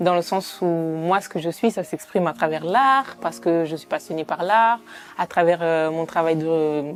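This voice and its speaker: Pitch variation here is ordinary. The woman speaks fairly slowly. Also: fairly low pitch for a woman. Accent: Italian. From Italy. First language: Italian (speaking French). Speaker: documentary filmmaker and sociologist. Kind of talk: interview. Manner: hesitant, many fillers.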